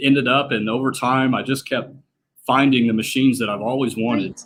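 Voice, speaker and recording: The speaker has a strong Southern US accent and a bright, sharp tone. Delivery is fairly quick with fairly even intonation. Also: man. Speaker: slot machine collector and repairer. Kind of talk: casual interview chat. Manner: hesitant, many fillers.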